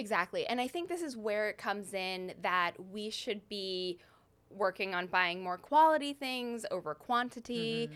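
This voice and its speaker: A woman talks at medium pitch and a moderate pace with lively intonation, in a plain, everyday voice. The recording is very clean, with a silent background. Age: 30s. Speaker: stylist. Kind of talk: casual chat.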